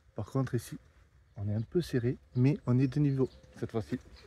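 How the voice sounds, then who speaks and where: At a fairly quick pace, a man talks in a dark, mellow tone that is somewhat breathy. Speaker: travel vlogger. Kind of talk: casual vlog narration. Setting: outdoors, in a small courtyard. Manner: soft-spoken, speaking quietly.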